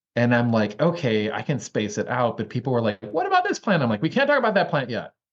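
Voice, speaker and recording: At a very fast pace, a man speaks with a medium pitch and lively intonation. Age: 50s. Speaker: herbal educator. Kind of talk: casual chat. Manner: animated.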